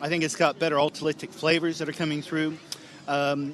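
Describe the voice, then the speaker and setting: A man with an American accent and a fairly high voice talks very fast over noticeable background noise. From US, Northern California. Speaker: wine tour operator. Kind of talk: radio interview.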